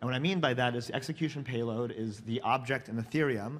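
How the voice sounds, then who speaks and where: A man speaks fairly quickly, and his pitch varies in an ordinary way. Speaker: conference speaker. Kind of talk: lecture. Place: stage.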